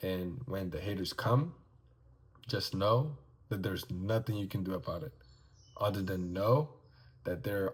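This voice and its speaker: Mumbling at a moderate pace, a man talks in a fairly low pitch with ordinary pitch variation and a somewhat breathy sound. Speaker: vlogger and aspiring life coach. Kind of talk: casual vlog monologue.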